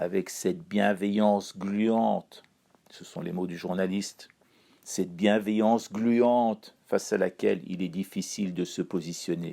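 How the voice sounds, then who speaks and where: In a Persian accent, a man talks fairly slowly in a fairly low pitch with a dark, mellow tone, fairly even intonation and big swings in loudness. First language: Persian (speaking French). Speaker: columnist. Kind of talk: scripted chronicle reading.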